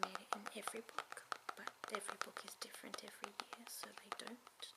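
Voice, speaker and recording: Whispering with noticeable background noise. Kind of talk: ASMR tapping video, casual talk to camera. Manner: soft-spoken, whispered.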